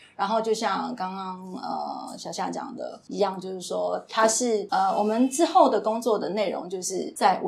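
A woman speaks with vocal fry at a medium pitch and a fairly slow pace. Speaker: cosmetics brand trainer. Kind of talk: casual interview chat.

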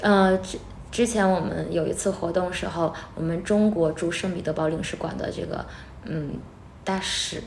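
A woman's fairly low voice with ordinary pitch variation, a moderate pace and audible room echo. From Northeast China. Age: 30s. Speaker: music teacher. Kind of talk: interview.

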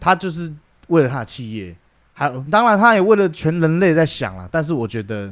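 Talking at a fairly quick pace, a man with a Taiwanese accent has a fairly high pitch and very wide pitch swings. His loudness swings a lot too. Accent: Taiwanese Mandarin. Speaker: podcast co-host. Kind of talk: casual chat.

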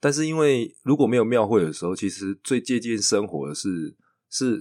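A man speaks with a Taiwanese accent at medium pitch. His intonation is lively and his pace is moderate. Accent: Taiwanese Mandarin. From Taiwan, Chiayi. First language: Taiwanese Hokkien (speaking Chinese). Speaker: theatre director. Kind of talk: casual interview chat.

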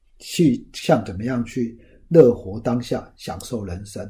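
This man's medium-pitched voice has a dark, mellow tone. It sounds somewhat breathy. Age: 50s. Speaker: finance podcast host, former lecturer. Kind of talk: solo talk, book review. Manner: casual with many filler particles.

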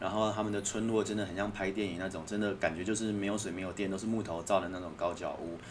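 A man with a Taiwanese accent at a fairly low pitch and a very fast pace, with noticeable background noise and audible room echo. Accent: Taiwanese Mandarin. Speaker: author. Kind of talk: casual chat.

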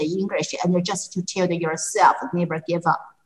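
At a moderate pace, a woman with a Chinese accent speaks in a somewhat breathy voice of medium pitch. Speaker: English teacher and podcast host. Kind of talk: casual interview. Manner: halting, many fillers.

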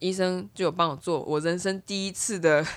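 This woman has an unremarkable speaking voice. Her pitch is medium, with ordinary pitch variation. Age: 30s. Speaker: podcast co-host. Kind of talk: casual chat.

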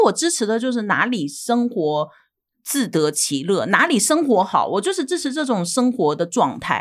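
A woman speaks with pitch that swings very widely. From Shandong, northern China. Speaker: YouTuber, immigrant housewife. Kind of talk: interview.

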